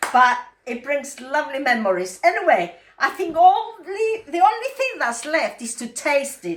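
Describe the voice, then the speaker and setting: A woman with a Greek Cypriot accent speaks at a moderate pace in a high pitch, with very wide pitch swings and big swings in loudness. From Cyprus. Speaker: cooking video host. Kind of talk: cooking tutorial.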